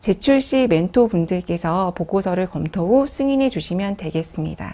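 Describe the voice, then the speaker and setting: This woman talks at a moderate pace with a medium pitch and a dark, mellow tone. The recording is very clean, with a silent background. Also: lively intonation. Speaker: program staff presenter. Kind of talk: business briefing presentation. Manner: formal.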